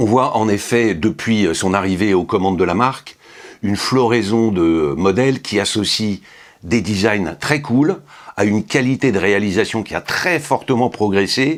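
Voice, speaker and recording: This man's pitch is fairly low and his pace fairly slow. His intonation is lively while his loudness stays very even. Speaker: watch reviewer. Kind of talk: product review. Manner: hesitant with fillers.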